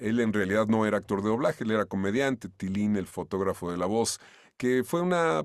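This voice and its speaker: On a very clean recording with a silent background, a man with an ordinary speaking voice talks at a fairly low pitch with lively intonation. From Mexico. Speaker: voice actor (dubbing). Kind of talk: interview answer.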